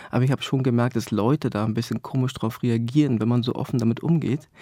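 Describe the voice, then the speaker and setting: This man talks at a very fast pace, his medium-pitched voice dark and mellow in tone. Intonation stays fairly even, and the sound is dry and close with no echo. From East Germany. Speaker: author. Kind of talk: interview. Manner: halting.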